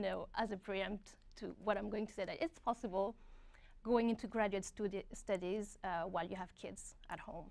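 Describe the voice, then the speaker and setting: This woman speaks with a strong French accent and fairly even intonation. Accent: thick French. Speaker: graduate student. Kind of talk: webinar panel talk.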